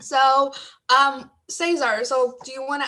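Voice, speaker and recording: Bright, sharp tone in a woman's high-pitched voice, raised and projected. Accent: American. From outside the US. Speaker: graduate student panelist. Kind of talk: panel discussion.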